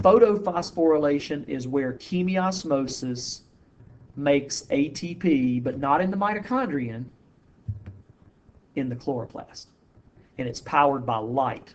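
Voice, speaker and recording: A man with a fairly high voice talks with lively intonation. His speech has long, frequent pauses. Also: fairly slow pace. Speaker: high school biology teacher. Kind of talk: lecture. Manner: casual.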